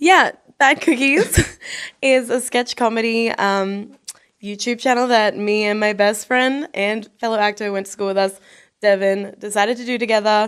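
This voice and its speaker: On a very clean recording with a silent background, a woman speaks with an Australian accent. Her fairly high voice keeps a fairly even intonation. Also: moderate pace. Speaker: actor. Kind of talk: casual chat.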